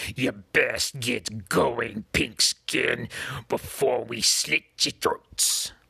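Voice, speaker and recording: A man puts on a growling character voice at medium pitch. He talks at a very slow pace. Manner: threatening.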